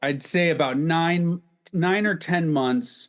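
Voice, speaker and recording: A man with a normal speaking voice talks fairly slowly, his intonation lively. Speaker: podcast host. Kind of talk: casual conversational podcast talk.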